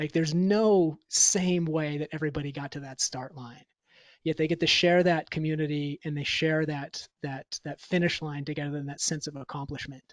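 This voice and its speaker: It's a normal speaking voice with fairly even intonation at a moderate pace. The sound is dry and close with no echo, over a quiet background. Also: man, fairly high pitch for a man. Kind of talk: podcast host interview.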